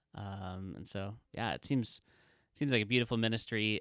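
A man's fairly low-pitched, ordinary speaking voice with fairly even intonation, dry and close with no echo, in a very clean recording with a silent background. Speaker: podcast co-host, ministry worker. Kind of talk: podcast introduction.

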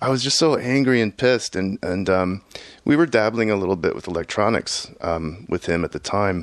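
An unremarkable speaking voice with an American accent moves at a moderate pace, its intonation lively. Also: man, fairly low pitch for a man. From Houston, Texas. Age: 40s. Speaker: electronic musician and software engineer. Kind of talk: casual interview. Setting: home studio.

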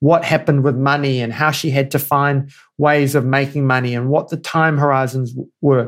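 A man with a New Zealand accent has a fairly high voice and a moderate pace. His intonation is fairly even, and the recording is very clean with a silent background. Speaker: board governance advisor and entrepreneur. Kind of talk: interview conversation.

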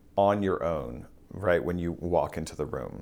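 A man with an American accent speaks at a fairly slow pace in a very deep, low pitch, his pitch varying in an ordinary way, with audible room echo. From US Midwest (central Kansas). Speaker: opera conductor. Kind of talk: interview conversation. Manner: halting, many restarts.

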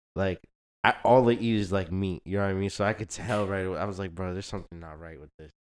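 In a very clean recording with a silent background and a dry, close sound with no echo, a man uses an ordinary speaking voice, fairly low in pitch, with fairly even intonation. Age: young. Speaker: younger brother of a host. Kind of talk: casual chat.

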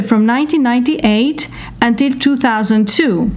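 A woman with a high pitch and normal pitch variation speaks against noticeable background noise. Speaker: podcast co-host. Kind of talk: interview.

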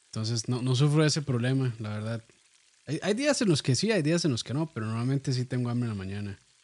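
A man in a Costa Rican accent talks at a very fast pace, his medium pitch showing ordinary pitch variation. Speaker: podcast host and cooking video creator. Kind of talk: casual chat.

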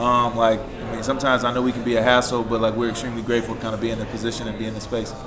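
Against noticeable background noise, a man talks very fast with hardly any pauses. His medium-pitched voice stays monotone and flat. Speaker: paranormal investigator, TV cast member. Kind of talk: casual group interview.

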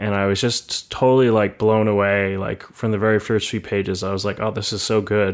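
Fairly quick and with hardly any pauses, a man delivers his words at a fairly low pitch in monotone, flat intonation. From Montreal, Canada. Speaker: writer and translator. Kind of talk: casual interview conversation. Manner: hesitant, fillers, conversational.

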